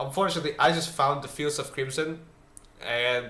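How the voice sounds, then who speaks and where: Mumbling, a man speaks at a fairly quick pace. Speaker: gaming video creator. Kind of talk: game guide voice-over.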